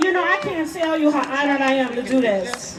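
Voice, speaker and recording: Crowd noise fills the background behind a woman. She speaks at a fairly quick pace in a high-pitched voice. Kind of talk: protest rally introduction. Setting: outdoors, PA system.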